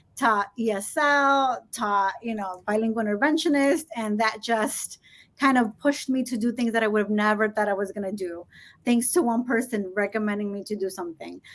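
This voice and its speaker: On a very clean recording with a silent background, a woman speaks at a moderate pace in a fairly high pitch. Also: ordinary pitch variation. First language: Spanish. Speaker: school administrator. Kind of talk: interview.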